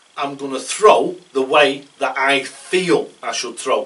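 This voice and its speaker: Noticeable background noise sits under a man speaking very slowly with a British accent. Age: 60s. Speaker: darts coach. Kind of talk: casual tutorial talk. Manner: conversational, rambling with hesitations.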